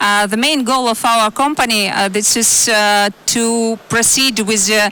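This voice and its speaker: Fairly high-pitched woman's voice, fairly even in intonation, over noticeable background noise. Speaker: energy company executive, panelist. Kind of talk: panel discussion. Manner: halting, many fillers.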